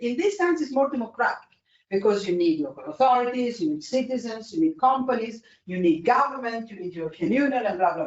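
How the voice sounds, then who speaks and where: The speaker has an Italian accent. The pace is very fast. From Italy. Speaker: energy policy expert. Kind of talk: panel discussion. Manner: halting.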